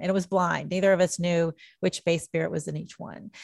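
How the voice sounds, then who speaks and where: A woman with an American accent talks at a moderate pace and a fairly low pitch in a flat monotone. The very clean recording has a silent background and a dry, close sound with no echo. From southern Indiana. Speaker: mixologist and author. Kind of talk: interview.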